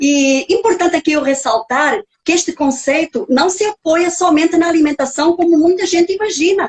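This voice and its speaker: Her voice is extremely high, and the woman talks at a moderate pace with hardly any pauses. Loudness stays very even, and the sound is dry and close with no echo. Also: ordinary pitch variation. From Portugal. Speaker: nutrigenetics specialist, author, speaker. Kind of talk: lecture. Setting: live stream video call.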